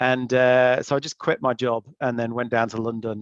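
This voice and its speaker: A man talks in an English accent with monotone, flat intonation. The sound is dry and close with no echo, over a quiet background. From England. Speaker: investment banker, panelist. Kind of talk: webinar panel talk. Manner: halting, many fillers.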